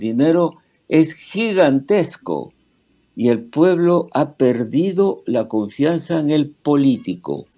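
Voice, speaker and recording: Music plays in the background as a man speaks at a very slow pace. His intonation is lively. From Peru. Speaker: historian. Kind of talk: interview. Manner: halting, many fillers and restarts.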